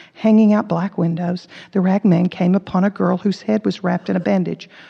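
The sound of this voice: An unforced reading voice is used here. Nothing about it sounds pushed.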